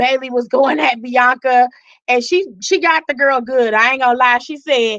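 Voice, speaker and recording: Loud and animated, a woman speaks in a high pitch at a moderate pace with ordinary pitch variation. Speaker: wrestling commentary streamer. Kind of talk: live aftershow commentary. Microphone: mic very close, may clip.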